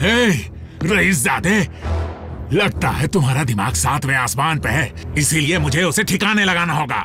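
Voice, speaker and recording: A man uses a put-on character voice at a fairly high pitch and a moderate pace. Long, frequent pauses break his speech over clear background noise. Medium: fan dub.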